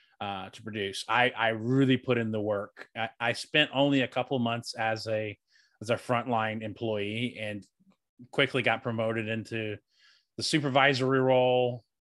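Here a man speaks with an American accent and a plain, everyday voice, at medium pitch, moderate pace and fairly even intonation. The recording is very clean, with a silent background. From US South, North Carolina. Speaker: podcast co-host being interviewed. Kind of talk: interview.

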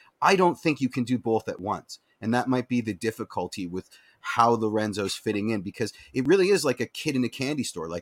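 With a Canadian accent, a man talks at a fairly quick pace in a medium pitch with lively intonation, the sound dry and close with no echo. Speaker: football fan podcast co-host. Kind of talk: casual chat. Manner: loud, no inside voice.

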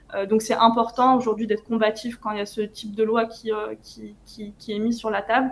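A woman speaks in a fairly high, monotone voice with flat intonation. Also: moderate pace, big swings in loudness. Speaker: anti-racist activist. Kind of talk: interview.

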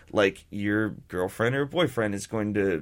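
A man speaks in an unremarkable speaking voice with fairly low pitch and ordinary pitch variation. The recording is very clean with a silent background. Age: 30s. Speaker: beer company co-founder. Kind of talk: radio interview. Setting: radio studio.

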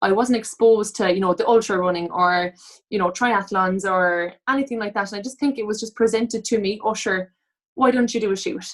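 A woman talks at a fairly quick pace in a Cork accent, with a fairly high pitch and ordinary pitch variation. The recording is very clean, with a silent background. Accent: Cork Irish. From Cork, Ireland. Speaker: online fitness and lifestyle coach. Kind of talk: casual interview chat.

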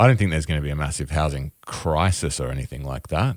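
A man with an Australian accent speaks with a very deep, low pitch. The recording is very clean, with a silent background. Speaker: podcast co-host. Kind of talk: casual chat.

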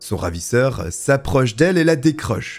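A man's solemn, dramatic tone at a moderate pace, with music in the background. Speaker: true crime storyteller. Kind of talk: true-crime narration. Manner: solemn, measured storytelling with dramatic, grave emphasis on the horrors; steady, fluent, scripted-sounding delivery.

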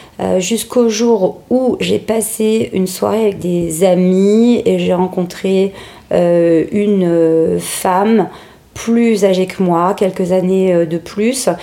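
Speaking at a very slow pace, a woman keeps her loudness very even, her medium-pitched voice moving in fairly even intonation. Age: 40s. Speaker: makeup artist. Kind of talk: interview testimony. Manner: hesitant, many fillers.

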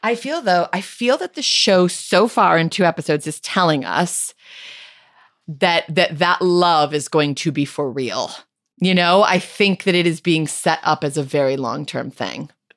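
Here is a woman with an American accent and an unremarkable speaking voice. Her pitch is fairly low, her pitch variation ordinary, and her pace fairly slow. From USA. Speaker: comedian. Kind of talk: casual chat.

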